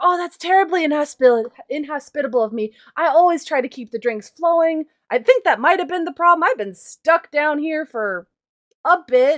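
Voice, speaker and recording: At moderate speed, a woman puts on a character voice pitched high. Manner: jovial, apologetic.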